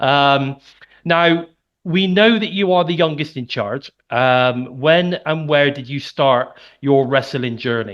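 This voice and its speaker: A man talks at a very slow pace in a fairly high pitch, with a slight Birmingham accent. His pitch varies in an ordinary way, and the background is quiet. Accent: slight Midlands (Birmingham). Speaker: podcast host. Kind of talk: interview podcast.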